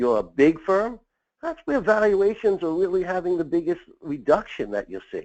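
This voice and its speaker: A man speaks with an American accent and lively intonation. The background is quiet. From Long Island, New York. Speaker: M&A consultant for accounting firms. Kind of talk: webinar presentation. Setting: online webinar. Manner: fast.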